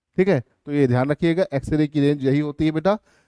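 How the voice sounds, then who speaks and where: A man speaks very fast with ordinary pitch variation and a dark, mellow tone. The sound is dry and close, with no echo. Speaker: physics teacher. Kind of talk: live online lecture. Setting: live stream class. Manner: animated, encouraging.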